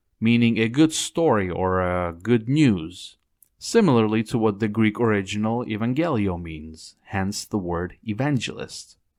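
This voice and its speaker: Over a very clean recording with a silent background, a man with a non-native accent talks fairly slowly at a fairly low pitch with lively intonation. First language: not English. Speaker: Bible study teacher. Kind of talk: Bible study lecture; scripture reading.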